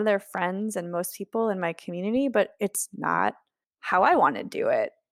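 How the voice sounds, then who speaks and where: A normal speaking voice moves at a moderate pace with lively intonation. The recording is very clean with a silent background and a dry, close sound with no echo. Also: woman. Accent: American. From Ohio, US Midwest. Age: 40s. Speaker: travel writer. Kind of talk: interview.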